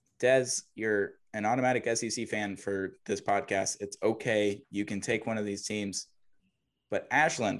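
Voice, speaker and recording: In a very clean recording with a silent background, a man with an American accent and a plain, everyday voice speaks at a moderate pace and fairly low pitch, keeping his intonation fairly even. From US South. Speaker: college baseball podcast host. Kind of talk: casual sports chat.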